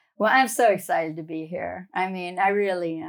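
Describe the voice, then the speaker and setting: A woman with an American accent talks at a moderate pace and medium pitch, with ordinary pitch variation. The recording is very clean, the background silent. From South Louisiana (Cajun bayou country). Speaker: memoir writing coach and ghostwriter. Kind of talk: interview conversation.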